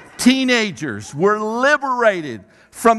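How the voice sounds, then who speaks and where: The man's voice is raised and projected. Its tone is bright and sharp. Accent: American. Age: 60s. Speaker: pastor. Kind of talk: sermon. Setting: church stage with audience, miked. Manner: halting with repetitions.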